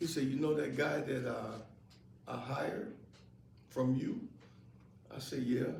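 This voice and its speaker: A man's medium-pitched voice in an American accent, at a fairly slow pace with long, frequent pauses, ordinary pitch variation and audible room echo. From US Midwest, Rockford, Illinois. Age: 70s. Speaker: employment placement advocate. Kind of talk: interview before live audience. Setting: event with live audience. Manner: halting, repeats words.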